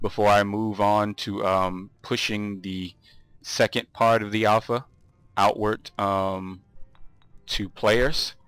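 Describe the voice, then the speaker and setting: Music plays behind a man whose fairly low voice stays monotone and flat. He speaks at a very slow pace, and the sound is dry and close with no echo. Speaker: video game modder. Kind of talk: casual demo narration. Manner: hesitant, many filler words.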